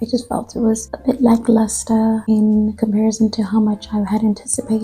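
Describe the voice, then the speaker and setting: Music plays behind the voice. The delivery is at a fairly quick pace. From South Africa. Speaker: book vlogger. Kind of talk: casual book review vlog.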